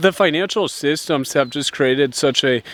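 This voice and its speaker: Moving at a moderate pace, a man with an American accent talks in a fairly high pitch. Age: 20s. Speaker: lifestyle YouTuber. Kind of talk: vlog monologue. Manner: halting, many repetitions and fillers.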